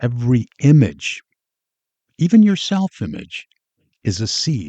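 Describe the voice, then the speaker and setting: Dark and mellow in tone and somewhat breathy, a man of medium pitch speaks at a fairly slow pace with very wide pitch swings, the sound dry and close with no echo. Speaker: podcast host. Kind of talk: motivational podcast talk. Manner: deliberately slowed with pauses.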